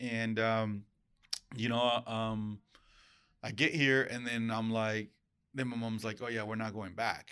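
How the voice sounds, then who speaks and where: A man with a Spanish accent speaks at a medium pitch in a bright, sharp tone. He goes at a fairly slow pace with long, frequent pauses, on a very clean recording with a silent background. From Mexico, Acapulco area, moved to US as child. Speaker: real estate branch manager. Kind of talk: casual interview. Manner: energetic.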